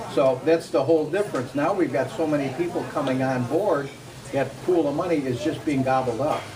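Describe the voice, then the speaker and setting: Amid noticeable background noise and audible room echo, a man speaks fairly quickly at a fairly high pitch with ordinary pitch variation. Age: 70s. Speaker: constituent. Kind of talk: town hall question.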